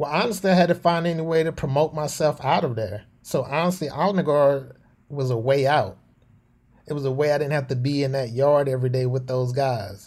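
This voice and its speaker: A man's fairly high voice with a Southern US accent, at a fairly quick pace and with ordinary pitch variation. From US South, North Carolina. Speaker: Air Force veteran. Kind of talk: interview.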